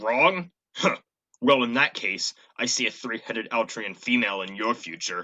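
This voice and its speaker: Put-on character voice from a man, medium-pitched and moderately paced. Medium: stage play. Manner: blustering, self-important.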